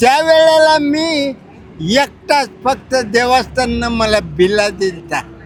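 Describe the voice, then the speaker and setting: Against noticeable background noise, a man talks with lively intonation at an extremely high pitch. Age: 80s+. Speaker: pilgrim, former porter. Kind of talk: interview answer. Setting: outdoors.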